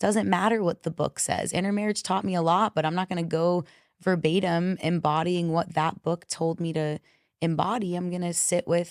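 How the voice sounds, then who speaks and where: A woman's fairly low-pitched voice at a moderate pace, dry and close with no echo, on a very clean recording with a silent background. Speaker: confidence coach. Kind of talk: casual chat. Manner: loud; animated.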